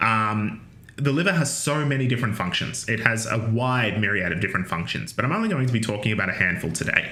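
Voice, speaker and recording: Audible room echo surrounds a man speaking at a fairly quick pace with lively intonation. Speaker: university lecturer. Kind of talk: lecture. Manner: casual, with many fillers.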